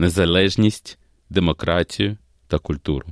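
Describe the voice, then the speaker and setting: With a very deep, low pitch, a man speaks in a dry, close sound with no echo against a quiet background. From Ukraine, Kyiv. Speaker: opera singer. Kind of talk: interview. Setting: studio.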